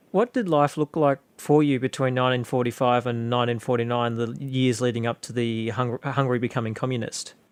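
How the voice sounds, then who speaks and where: A man with an Australian accent and a medium pitch talks at a fairly quick pace with fairly even intonation and hardly any pauses. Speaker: podcast host. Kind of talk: interview question.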